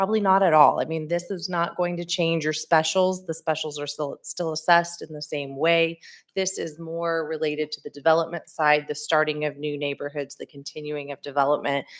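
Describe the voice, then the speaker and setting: Her very deep, low pitch holds a monotone, flat line as the woman talks at a fairly quick pace with hardly any pauses. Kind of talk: council meeting discussion. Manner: loud.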